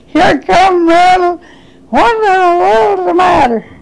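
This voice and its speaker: The pitch swings very widely at a fairly slow pace. Background noise is noticeable. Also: woman. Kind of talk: interview answer.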